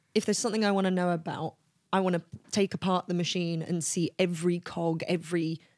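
Someone with a London accent talks at a fairly quick pace in monotone, flat intonation. The recording is very clean, with a silent background and a dry, close sound with no echo. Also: woman. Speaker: talent agent and actor. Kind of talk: casual interview.

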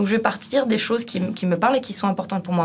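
A woman talks at a medium pitch and varies it in an ordinary way while noticeable background noise carries on. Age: 30s. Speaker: street artist. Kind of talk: casual chat.

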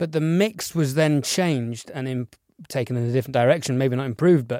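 Heard on a very clean recording with a silent background, a man with a plain, everyday voice speaks at a fairly quick pace with ordinary pitch variation. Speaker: podcast co-host and mix engineer. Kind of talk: casual interview chat.

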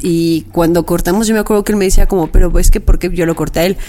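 Talking very fast with lively intonation, a woman is heard against noticeable background noise. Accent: Mexican. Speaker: podcast co-host. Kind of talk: casual chat.

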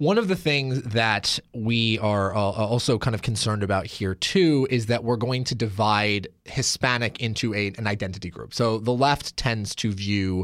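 A man with a Pacific Northwest accent speaks at a fairly low pitch with ordinary pitch variation. The recording is very clean and the background silent. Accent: Pacific Northwest American English. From Oregon. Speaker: podcast host. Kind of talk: interview.

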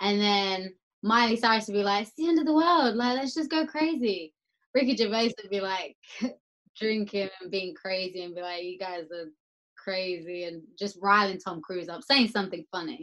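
A woman with an Essex accent speaks at a medium pitch and a moderate pace. Her intonation is lively, and her loudness swings a lot. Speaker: podcast guest. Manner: lively, chatty.

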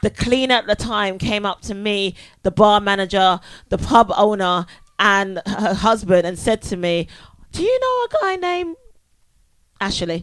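A woman at medium pitch with ordinary pitch variation, a moderate pace and long, frequent pauses. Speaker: stand-up comedian. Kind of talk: live comedy panel show banter. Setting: stage with audience. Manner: animated.

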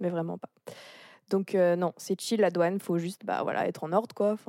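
In a dark, mellow tone with monotone, flat intonation, a woman speaks at a fairly low pitch on a very clean recording with a silent background and a dry, close sound with no echo. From France, rural area near the Swiss border. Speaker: exchange student. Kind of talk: casual chat.

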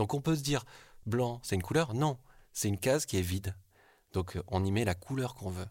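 A man's fairly low, somewhat breathy voice with lively intonation, a fairly quick pace and long, frequent pauses. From southwestern France (Bergerac). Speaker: art director. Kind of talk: personal testimony. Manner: hesitant, with fillers.

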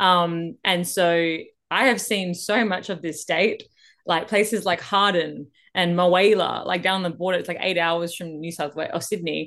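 Fairly even intonation at a moderate pace, in an Australian accent. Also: woman, fairly low pitch for a woman. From Western Australia (Perth). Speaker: country singer-songwriter and dancer. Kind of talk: casual interview.

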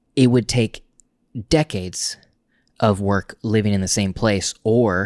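Recorded very cleanly over a silent background, a man with an American accent sounds dry and close with no echo, his pitch varying in an ordinary way. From Oklahoma, small town. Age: 30s. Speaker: podcast host. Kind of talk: casual chat.

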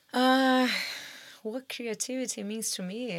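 A woman talks very slowly in a Portuguese accent. The recording is very clean, with a silent background. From Brazil. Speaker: photographer and art director. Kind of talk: interview. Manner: hesitant, many fillers.

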